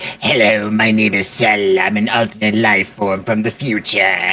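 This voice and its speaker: A raspy, low-pitched cartoonish character voice at a moderate pace. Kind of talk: cartoon voice acting. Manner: villainous, proud.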